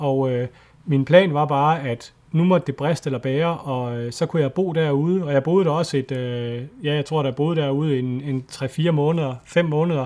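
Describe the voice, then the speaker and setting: A man with a plain, everyday voice speaks at a fairly high pitch. His pace is moderate and his intonation fairly even. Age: 40s. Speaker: nature photographer and adventurer. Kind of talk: casual interview chat. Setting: Skype call.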